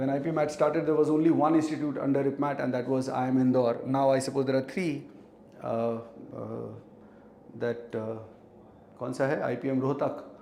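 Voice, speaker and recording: Amid noticeable background noise and audible room echo, a man speaks at a fairly quick pace with fairly even intonation and long, frequent pauses. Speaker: teacher. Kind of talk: live online class. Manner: code-switching Hindi and English.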